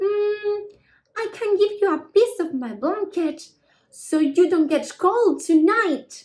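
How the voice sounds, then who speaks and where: Putting on a character voice, a woman speaks at a fairly slow pace in an extremely high, squeaky pitch with lively intonation. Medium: read story. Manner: warm, gentle.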